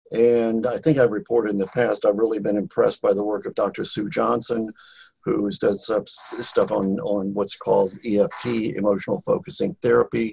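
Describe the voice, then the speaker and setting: A man is talking at a moderate pace. All is quiet behind him. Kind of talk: casual group video call. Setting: video call. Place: home room. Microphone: video call.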